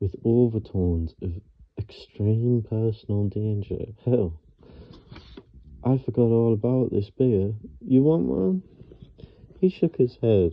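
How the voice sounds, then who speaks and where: A man with a medium pitch speaks at a very slow pace. He leaves long, frequent pauses. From Northeast England. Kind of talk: ASMR book reading. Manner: halting, hesitant reading.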